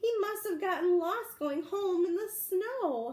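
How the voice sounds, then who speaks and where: A woman puts on a squeaky character voice at an extremely high pitch. She goes at a fairly slow pace with lively intonation. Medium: read story.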